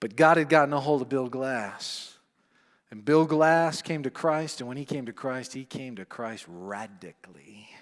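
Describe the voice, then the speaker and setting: A man's voice, an ordinary speaking voice at medium pitch, with ordinary pitch variation and big swings in loudness, on a very clean recording over a silent background. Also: moderate pace. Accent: American. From upstate New York, US. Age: 40s. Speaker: men's ministry teacher. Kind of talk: teaching talk with personal testimony.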